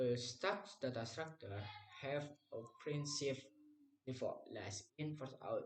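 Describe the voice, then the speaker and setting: Somewhat breathy, the speech unfolds at a very slow pace with long, frequent pauses. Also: man, fairly high pitch for a man, ordinary pitch variation. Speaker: university student. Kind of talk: class presentation. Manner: halting.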